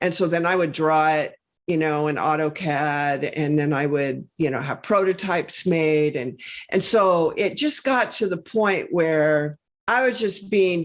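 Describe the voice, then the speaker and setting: An ordinary speaking voice moves at a fairly slow pace with ordinary pitch variation against a quiet background. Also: woman. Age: 60s. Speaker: health and wellness entrepreneur. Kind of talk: podcast interview. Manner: conversational, many fillers.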